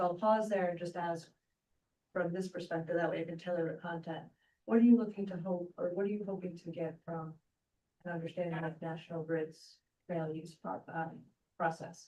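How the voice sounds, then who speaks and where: A soft-spoken woman talks at a fairly low pitch with a dark, mellow tone. Her pace is fairly quick, broken by long, frequent pauses. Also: fairly even intonation. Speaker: utility company representative. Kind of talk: presentation at public meeting. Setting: hybrid meeting room. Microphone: weak microphone, too quiet.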